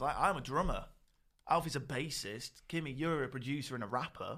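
A man with an ordinary speaking voice, fairly high in pitch, at a fairly quick pace with ordinary pitch variation, on a very clean recording with a silent background. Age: young. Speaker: podcast host and drummer. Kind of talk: casual chat.

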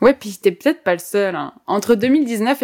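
Here a woman speaks in a normal speaking voice with ordinary pitch variation. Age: 20s. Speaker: climate activist and podcast co-host. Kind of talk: scripted podcast chat.

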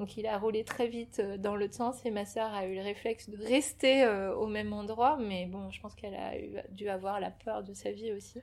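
A woman talks at a medium pitch and a moderate pace with fairly even intonation. Her loudness swings widely. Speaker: shop founder selling Portuguese crafts. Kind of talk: interview, personal life story. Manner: hesitant, many fillers and repetitions.

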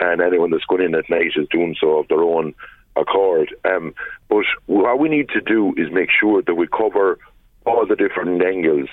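The speaker has a western Irish accent and talks at a moderate pace. Loudness stays very even throughout. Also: man. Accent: rural west of Ireland. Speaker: politician. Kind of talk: radio interview.

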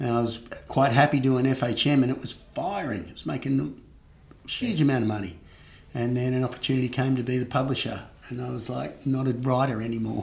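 Speaking at a fairly quick pace, a man with an Australian accent shows ordinary pitch variation. Room echo can be heard. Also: medium pitch for a man. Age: 50s. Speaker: marketing executive. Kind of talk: interview.

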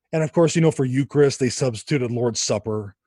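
A man with an American accent, lively intonation and a somewhat breathy voice, in a dry, close sound with no echo over a quiet background. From US West Coast, Los Angeles area. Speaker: author and evangelist. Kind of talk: interview conversation.

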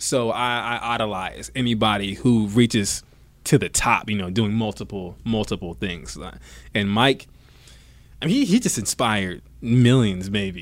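A man with an American accent in an ordinary speaking voice, fairly low pitch, ordinary pitch variation, and a fairly slow pace, on a very clean recording with a silent background. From US South, Georgia. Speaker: dancer and stadium performer. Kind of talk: interview. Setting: baseball stadium.

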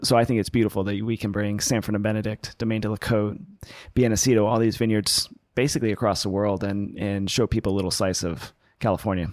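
Speaking very fast with fairly even intonation, a man with an American accent is heard on a very clean recording with a silent background. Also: fairly low pitch for a man. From US West Coast (Los Angeles). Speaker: winemaker. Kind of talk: interview.

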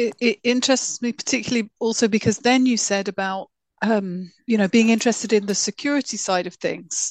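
A woman with a southern English accent speaks at a fairly quick pace in a fairly high voice with fairly even intonation, the sound dry and close with no echo against a quiet background. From London. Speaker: podcast co-host. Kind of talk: interview conversation.

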